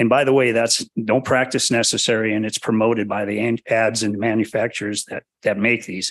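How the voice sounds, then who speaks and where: Over a quiet background, a man talks at a fairly quick pace in a monotone, flat voice. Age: 60s. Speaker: public commenter, bow hunter. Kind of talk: public comment at hearing. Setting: public meeting.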